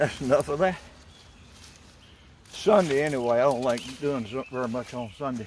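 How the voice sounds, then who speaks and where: Moderate pace and ordinary pitch variation against noticeable background noise. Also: man. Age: 70s. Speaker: DIY hobby vlogger. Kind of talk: casual vlog narration.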